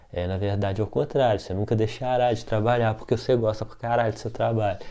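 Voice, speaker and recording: In a Minas Gerais accent, a man with a dark, mellow tone and medium pitch talks very fast with fairly even intonation. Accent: Minas Gerais Brazilian Portuguese. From Brazil, Minas Gerais. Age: 40s. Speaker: art teacher. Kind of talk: casual talk.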